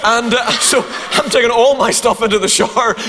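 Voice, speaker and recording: Over noticeable background noise, a man with a Northern Irish accent speaks at an extremely high pitch. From Northern Ireland. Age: 50s. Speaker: preacher. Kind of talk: sermon. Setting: church. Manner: humorous.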